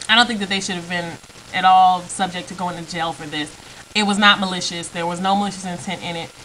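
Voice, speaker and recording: A woman's medium-pitched voice at a very fast pace, fairly even intonation, big swings in loudness, noticeable background noise. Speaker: video blogger. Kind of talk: opinion vlog monologue. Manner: halting, many fillers.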